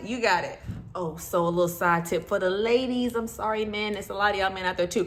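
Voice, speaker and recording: A woman with a Southern US accent speaks in an animated tone with ordinary pitch variation. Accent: Southern country speech. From US South. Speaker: notary and loan signing agent YouTuber. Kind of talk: informal advice video.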